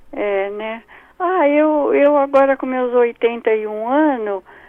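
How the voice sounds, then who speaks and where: The speaker is a woman with a fairly high voice. Her pitch varies in an ordinary way. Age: 80s+. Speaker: caller. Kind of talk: phone-in question. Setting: phone call.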